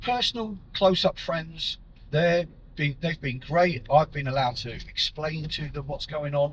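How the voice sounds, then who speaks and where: Here a man with a normal speaking voice talks fairly slowly at a fairly high pitch, with ordinary pitch variation. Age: 60s. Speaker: prostate cancer patient. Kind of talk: personal vlog talk to camera.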